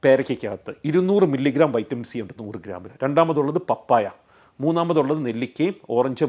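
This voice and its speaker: A man in an ordinary speaking voice speaks at a medium pitch with lively intonation and big swings in loudness. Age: 40s. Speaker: doctor. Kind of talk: health explainer to camera.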